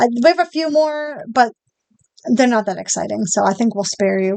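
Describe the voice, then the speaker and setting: Her high-pitched voice moves at a fairly quick pace, and this woman shows ordinary pitch variation. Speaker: podcast co-host. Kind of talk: podcast history narration; casual chat. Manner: some stumbles and self-corrections.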